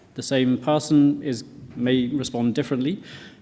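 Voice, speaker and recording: Audible room echo hangs around this voice. A man speaks with a dark, mellow tone. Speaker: professor. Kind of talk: conference talk. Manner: fast.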